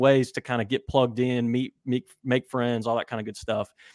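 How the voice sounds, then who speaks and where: A man with an American accent talks in a normal speaking voice at medium pitch and a moderate pace, his intonation fairly even and the sound dry and close with no echo. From West Virginia. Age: 30s. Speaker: football writer. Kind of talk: casual chat.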